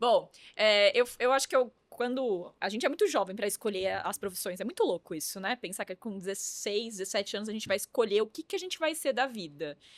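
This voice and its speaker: A woman's normal speaking voice, fairly high in pitch, with lively intonation, a fairly quick pace and hardly any pauses, in a dry, close sound with no echo. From interior of São Paulo state, Brazil. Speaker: influencer marketing agency founder. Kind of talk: podcast interview.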